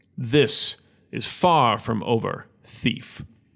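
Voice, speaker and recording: Putting on a character voice, a man talks at a medium pitch. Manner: defiant, threatening.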